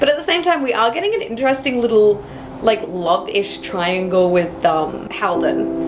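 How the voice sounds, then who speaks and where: A woman speaks over noticeable background noise. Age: 20s. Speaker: voice artist and occasional audiobook narrator. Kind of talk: casual reading vlog talk to camera. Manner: chatty, casual.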